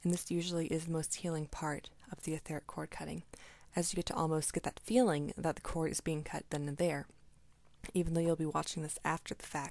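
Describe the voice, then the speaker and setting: A soft-spoken woman with a fairly low pitch talks fairly quickly in fairly even intonation, on a very clean recording with a silent background. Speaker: energy healer. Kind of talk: tutorial.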